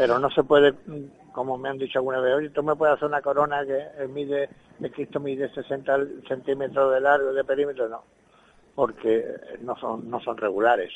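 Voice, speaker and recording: A man speaks with fairly high pitch and monotone, flat intonation. His pace is moderate, with long, frequent pauses. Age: 70s. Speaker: religious brotherhood member, crown maker. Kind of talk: interview. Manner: halting.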